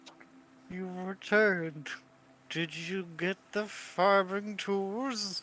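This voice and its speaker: A put-on character voice at a very slow pace. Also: man, high pitch for a man. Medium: actual play. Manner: curt, expectant.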